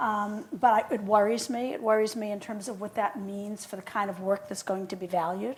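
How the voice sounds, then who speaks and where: In a Boston accent, a woman of medium pitch talks with hardly any pauses. Her intonation is fairly even, while her loudness swings a lot. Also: fairly quick pace. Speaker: film scholar and curator. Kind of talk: conversational interview.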